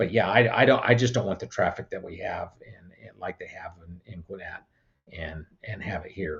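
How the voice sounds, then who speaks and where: With an American accent, a somewhat breathy man talks at a moderate pace and medium pitch over a quiet background. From California. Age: 60s. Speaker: political candidate. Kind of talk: interview. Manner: repetitive, stammering.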